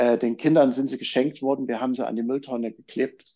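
A man with a dark, mellow tone speaks with ordinary pitch variation against a quiet background. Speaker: journalist and documentary filmmaker. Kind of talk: casual discussion.

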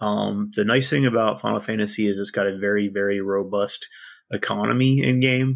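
At a fairly quick pace, a man talks with a fairly low pitch. His pitch variation is ordinary. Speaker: gamer guest. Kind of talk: casual chat. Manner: hesitant, filler-heavy.

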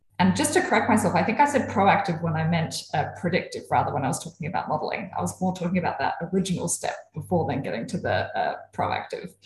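Someone speaks with an Australian accent at a very fast pace. There are hardly any pauses. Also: woman. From South Australia, Adelaide. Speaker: sleep and fatigue researcher. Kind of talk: casual interview about research.

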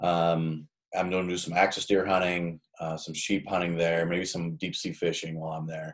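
Speaking at a moderate pace, a man delivers his words in a very deep, low pitch with monotone, flat intonation. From Nebraska, small town. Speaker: hunting podcast host. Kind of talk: casual chat.

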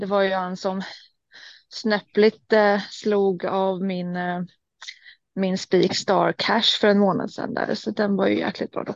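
A woman speaks at a medium pitch and very slow pace, her intonation monotone and flat, with long, frequent pauses and a dry, close sound with no echo. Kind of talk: casual chat. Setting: in a car.

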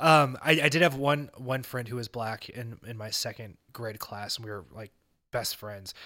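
In a very clean recording with a silent background, a man with an unremarkable speaking voice talks at a moderate pace and medium pitch, showing ordinary pitch variation and big swings in loudness. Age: 30s. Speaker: podcast host. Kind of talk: casual chat.

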